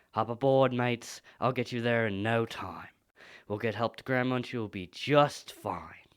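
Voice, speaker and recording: A man performs a cartoonish character voice at a medium pitch. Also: moderate pace. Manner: cheery, casual.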